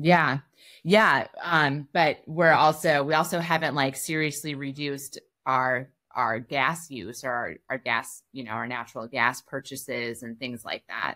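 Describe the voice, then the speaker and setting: Speaking at a fairly slow pace, a woman with an American accent has a very deep, low pitch, a bright, sharp tone and ordinary pitch variation against a quiet background. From US Midwest. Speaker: freelance journalist; interview guest. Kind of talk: interview conversation. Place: home room.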